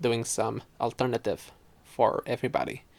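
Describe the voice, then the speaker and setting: A man at a moderate pace, with a Quebec accent. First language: French. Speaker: podcaster. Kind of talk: casual chat. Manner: halting, many fillers.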